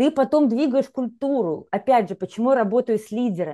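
Against a quiet background, a woman talks very fast with a dark, mellow tone. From Belarus. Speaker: executive and leadership coach, HR professional; podcast guest, leadership coach. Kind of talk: interview. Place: home room. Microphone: earbuds.

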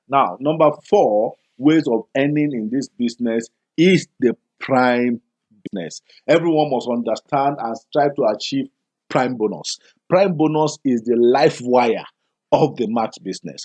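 A man speaks with a Nigerian accent at a fairly slow pace. His pitch is medium, with ordinary pitch variation. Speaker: business presenter. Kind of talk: sales pitch. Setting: video. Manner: persuasive.

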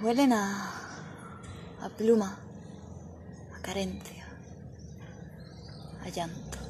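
Whispering at a very slow pace, broken by long, frequent pauses. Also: woman. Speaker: poetry reciter. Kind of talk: poetry reading. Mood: dramatic, expressive. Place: street. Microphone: phone near.

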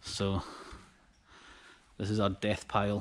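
A man is speaking. His pitch sits fairly low. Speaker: small online reseller. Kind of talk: casual vlog chat. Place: factory. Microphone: phone near.

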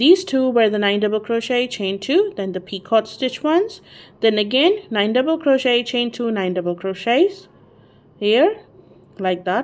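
A woman with a non-native accent speaks at a moderate pace. Her fairly high voice swings very widely in pitch. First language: not English. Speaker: crochet tutorial creator. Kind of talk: tutorial. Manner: halting, hesitant with fillers.

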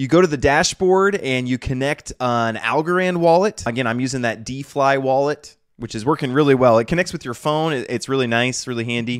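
Against a quiet background, a man talks at a fairly quick pace with ordinary pitch variation and hardly any pauses. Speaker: tech video creator. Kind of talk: tutorial. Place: home room. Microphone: studio mic.

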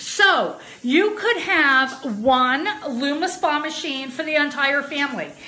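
A raised, projected voice moves at a very slow pace with lively intonation. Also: woman. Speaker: product seller. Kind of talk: casual product demo livestream. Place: bathroom. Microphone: phone near.

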